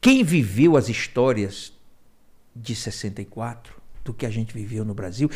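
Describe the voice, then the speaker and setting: Somewhat breathy, the man speaks with a dark, mellow tone at a fairly slow pace. His loudness swings widely. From Ceará, Brazil (raised in Fortaleza). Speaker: small business agency director. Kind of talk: interview.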